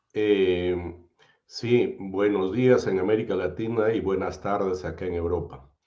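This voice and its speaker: With audible room echo, a man talks fairly slowly in a very deep, low voice with a dark, mellow tone and fairly even intonation. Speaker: sociologist and philosopher. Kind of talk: interview.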